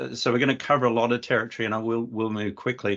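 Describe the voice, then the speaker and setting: A man's medium-pitched voice over a quiet background. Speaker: webinar presenter. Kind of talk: webinar presentation. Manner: fast; hesitant with fillers.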